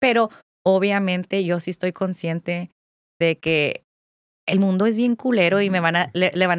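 The pace is moderate, with ordinary pitch variation. The background is quiet and the sound is dry, with no echo. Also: woman. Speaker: content creator. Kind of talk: casual chat. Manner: animated. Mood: candid, reflective. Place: studio. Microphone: studio mic.

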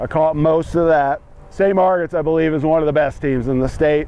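The voice belongs to a man. No echo colors the dry sound. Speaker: lacrosse analyst. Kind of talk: commentary. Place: open country. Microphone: lapel.

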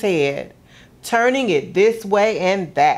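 A woman talks at a very slow pace. Her tone is warm and gentle, and her intonation lively. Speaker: museum gallery programs director reading a story. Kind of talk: children's picture-book story time, read aloud. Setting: video broadcast for kids at home. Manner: warm, gentle, expressive storyteller pace. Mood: warm, gently expressive.

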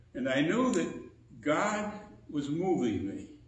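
Room echo is audible as a man speaks. His pace is very slow, with very wide pitch swings. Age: 80s+. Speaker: preacher. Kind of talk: sermon. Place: church. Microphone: podium.

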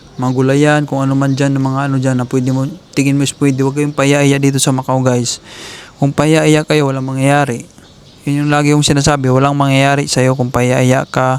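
A man with a fairly high pitch talks at a fairly quick pace in a monotone, flat intonation, with noticeable background noise behind him. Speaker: vlogger giving job-hunting advice to Filipino workers. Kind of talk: casual vlog monologue. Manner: fast, run-on speech.

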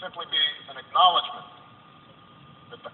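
Very slow speech from a man with an American accent, plus noticeable background noise. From United States. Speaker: president giving a eulogy. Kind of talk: funeral eulogy sermon speech. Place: hall.

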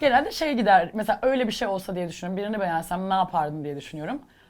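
A woman at a very fast pace, animated in tone, with very wide pitch swings. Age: 30s. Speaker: singer. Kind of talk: casual chat. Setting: studio.

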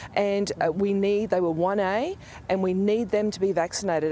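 A woman at a fairly quick pace with fairly even intonation, dry sound with no echo, and light background noise. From Australia. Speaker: health policy expert. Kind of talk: news interview. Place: waterside. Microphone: lapel.

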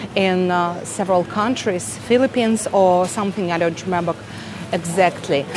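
With a Russian accent, a woman speaks at a moderate pace with ordinary pitch variation amid noticeable background noise. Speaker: vlogger. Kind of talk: vlog, casual store tour. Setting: supermarket, in store. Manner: quiet, calm; conversational, friendly. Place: shop. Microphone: phone near.

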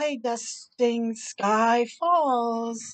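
A woman speaks at a fairly high pitch, with ordinary pitch variation.

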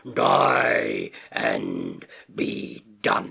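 A man puts on a character voice, growling and rumbling. His tone is menacing. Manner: menacing, contemptuous roar.

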